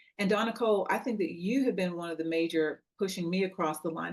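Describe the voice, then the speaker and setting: A woman has a plain, everyday voice at medium pitch. She talks at a fairly quick pace with ordinary pitch variation. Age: 60s. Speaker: network member, wellness business owner. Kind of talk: casual chat.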